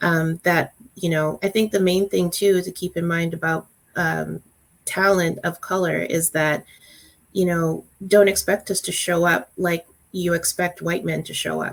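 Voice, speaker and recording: Soft-spoken, fairly slow speech with a Canadian accent and monotone, flat intonation. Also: woman, fairly low pitch for a woman. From Calgary, Alberta, Canada. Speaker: workplace diversity guest. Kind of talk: panel discussion. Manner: halting, many fillers.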